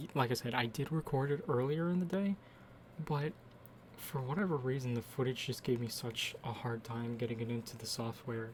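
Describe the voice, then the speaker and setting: Somewhat breathy, a man talks at a moderate pace with ordinary pitch variation. He leaves long, frequent pauses. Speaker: artist narrating own speed drawing. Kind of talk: casual voiceover commentary. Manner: hesitant, many fillers.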